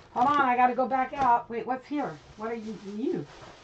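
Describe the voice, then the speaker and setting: A woman speaks in an animated tone at a high pitch. Light background noise is present. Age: 50s. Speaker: crafting YouTuber doing a shopping haul livestream. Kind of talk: casual livestream chat with viewers. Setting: home livestream. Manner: halting. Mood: distracted, searching. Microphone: phone near.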